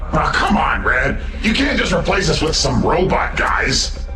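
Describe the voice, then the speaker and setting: A man does a cartoonish character voice with a slight echo over loud background noise. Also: moderate pace. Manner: casual, easygoing.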